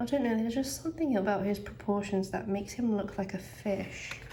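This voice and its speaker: Through noticeable background noise, a woman speaks at medium pitch with ordinary pitch variation. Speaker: artist. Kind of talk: casual chatty sketchbook tour.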